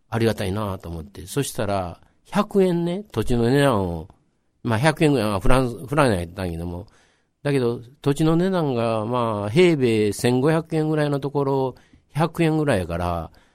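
The recording is very clean, with a silent background. A man with a Kansai accent speaks with very wide pitch swings. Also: medium pitch for a man, moderate pace. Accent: Kansai Japanese. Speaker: local history storyteller. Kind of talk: radio interview.

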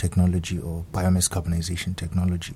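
The speaker is a man with a very deep, low pitch. His tone is dark and mellow. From South Africa. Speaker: graduate student. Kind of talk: radio interview. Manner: halting.

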